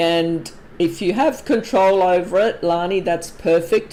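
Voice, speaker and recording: Speaking with a non-native accent, a woman uses a pitch in the middle of her range. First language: not English. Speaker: palm reader. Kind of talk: live stream Q&A. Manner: casual, hesitant with fillers.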